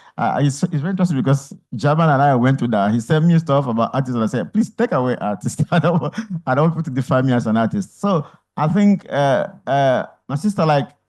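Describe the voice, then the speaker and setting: Against a quiet background, a man with a fairly high, somewhat breathy voice speaks at a fairly quick pace. His tone is dark and mellow, with lively intonation. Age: 50s. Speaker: artist and photographer. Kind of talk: on-stage conversation, audience Q&A.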